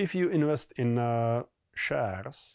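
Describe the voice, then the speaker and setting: Speaking with a Czech accent, a man of medium pitch talks at a fairly slow pace with lively intonation in a dry, close sound with no echo. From Czech Republic. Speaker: collectibles investor. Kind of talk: explainer monologue. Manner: hesitant, many fillers.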